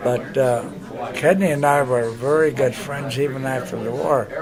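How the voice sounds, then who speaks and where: The speech moves at a fairly slow pace with audible room echo. Crowd noise sounds in the background. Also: man. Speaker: war veteran. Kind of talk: interview reminiscence. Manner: halting, many fillers.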